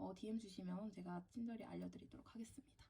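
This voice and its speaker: Her tone is dark and mellow. The woman's voice is somewhat breathy. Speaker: university student vlogger. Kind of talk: casual Q&A vlog.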